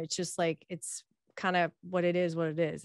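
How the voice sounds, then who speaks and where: With an American accent, a normal speaking voice talks at a moderate pace, the sound dry and close with no echo against a quiet background. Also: woman. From United States. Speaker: diversity and inclusion speaker. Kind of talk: casual interview chat.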